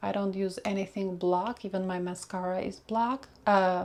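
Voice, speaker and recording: This woman has a medium-pitched voice and speaks with a Russian accent. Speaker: makeup vlogger. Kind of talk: makeup tutorial. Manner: casual, searching for words.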